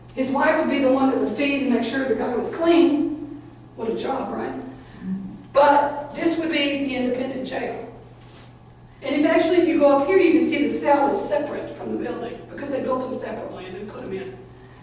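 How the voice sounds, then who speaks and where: Over noticeable background noise and audible room echo, a woman talks at a fairly quick pace in a high voice, with ordinary pitch variation and big swings in loudness. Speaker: criminal justice professor. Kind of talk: lecture. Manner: fast.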